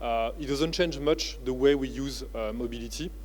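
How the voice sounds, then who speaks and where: A man talks with a French accent. Noticeable background noise and audible room echo surround him. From France (family from Uttar Pradesh, India). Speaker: business founder and professor. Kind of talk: keynote speech. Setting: conference stage with audience. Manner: hesitant, many filler words.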